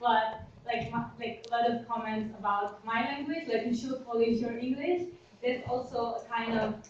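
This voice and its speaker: A woman's fairly high voice with a non-native accent, fairly quick and fairly even in intonation, with audible room echo. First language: not English. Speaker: student, seminar audience member. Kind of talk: audience question in seminar. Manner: halting, many fillers.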